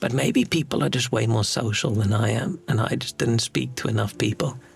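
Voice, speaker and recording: A soft-spoken man with a medium-pitched voice. His pace is fairly quick. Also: very even loudness. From South Africa. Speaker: streamer. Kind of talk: casual chat. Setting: home studio flat.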